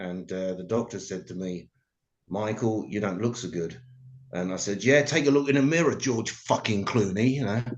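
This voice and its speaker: A man with an English accent speaks at a moderate pace, fairly low in pitch and with lively intonation. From England. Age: 50s. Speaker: comedy show host. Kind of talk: stand-up. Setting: video call.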